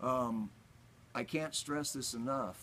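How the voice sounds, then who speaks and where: With a Texas accent, a man speaks at a very slow pace using lively intonation. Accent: Texas Southern US. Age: 60s. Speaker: radio DJ. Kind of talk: motivational talk to camera.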